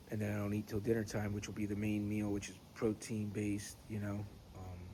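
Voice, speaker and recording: At a fairly quick pace, a somewhat breathy voice with a dark, mellow tone speaks in a flat monotone, with audible room echo around it. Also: man, fairly low pitch for a man. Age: 40s. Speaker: pipe smoking vlogger. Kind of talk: casual chat. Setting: outdoors. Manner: halting.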